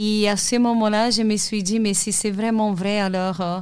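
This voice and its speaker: Fairly even intonation comes through on a very clean recording with a silent background. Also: woman. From Brazil, Salvador de Bahia. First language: Portuguese (speaking French). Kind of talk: testimony. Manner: halting.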